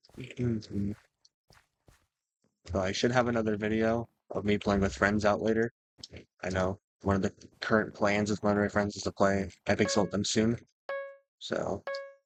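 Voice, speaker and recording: A man with fairly low pitch, fairly even intonation and long, frequent pauses, in a dry, close sound with no echo. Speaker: gaming youtuber. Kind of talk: gameplay commentary. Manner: fast.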